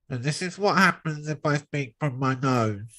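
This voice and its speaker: A man puts on a nasal character voice, pitched fairly high. He talks at a moderate pace. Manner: demonstrating a voice exercise.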